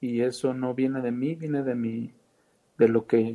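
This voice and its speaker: Very slowly, a man speaks at a medium pitch in a dark, mellow tone with fairly even intonation. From Mexico, Veracruz. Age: 40s. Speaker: film director. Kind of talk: casual interview chat. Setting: call with cameras off. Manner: halting, many fillers.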